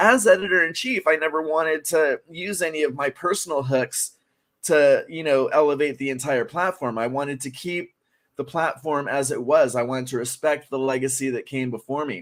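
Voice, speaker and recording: In a very clean recording with a silent background, a man speaks at a fairly high pitch. His pace is moderate and his pitch variation ordinary. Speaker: horror author and journalist. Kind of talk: interview. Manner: halting, many fillers.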